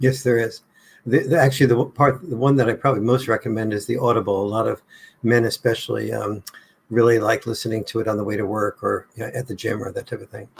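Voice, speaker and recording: At a very fast pace, a man with an American accent speaks at medium pitch with vocal fry, fairly even intonation and big swings in loudness. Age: 70s. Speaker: author. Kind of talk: interview.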